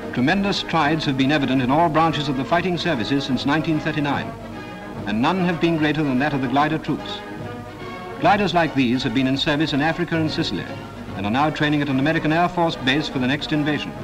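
Speech comes at a very fast pace with very even loudness while music plays in the background. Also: man, fairly high pitch for a man, ordinary pitch variation. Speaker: newsreel narrator. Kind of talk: wartime newsreel narration.

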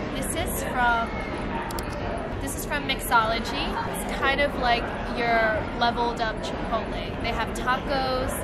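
A woman at a fairly slow pace, with long, frequent pauses and music in the background. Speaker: food vlogger. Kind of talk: casual food review chat.

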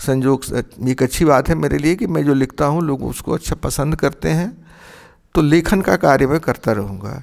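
Against a quiet background, a man with vocal fry and lively intonation speaks fairly slowly at a fairly high pitch. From Bihar, Chhapra; Bihar. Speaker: retired philosophy professor. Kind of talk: interview. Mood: calm, reflective. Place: home room.

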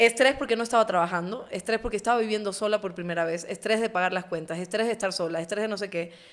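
A woman speaks at a very fast pace with hardly any pauses. Her pitch varies in an ordinary way. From Ecuador. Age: 30s. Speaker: journalist and interview show host; journalist, interview show host. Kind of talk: casual interview chat. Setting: studio. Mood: earnest, personal storytelling. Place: studio. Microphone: studio mic.

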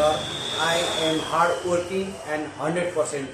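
Amid loud background noise and audible room echo, a man speaks. His pitch is fairly high, and his intonation is monotone and flat. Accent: Nepali. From Nepal, Sindhuli; Nepal. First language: Nepali. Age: 20s. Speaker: job applicant. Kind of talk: job interview self-introduction. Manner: formal. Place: kitchen. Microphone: phone near.

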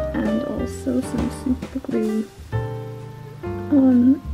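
While a woman talks, clear music is heard in the background. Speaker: taxidermist. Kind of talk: casual craft vlog narration. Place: home room. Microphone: phone near.

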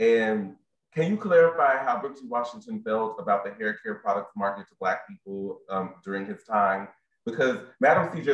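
A man at a moderate pace, with very wide pitch swings and audible room echo. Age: 30s. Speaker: library program specialist. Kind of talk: moderated presentation. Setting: video call from home. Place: home room. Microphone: webcam.

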